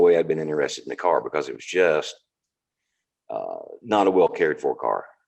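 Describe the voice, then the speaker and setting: A man with a Southern accent at a moderate pace. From US South, North Carolina. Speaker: car enthusiast. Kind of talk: casual interview. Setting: video call.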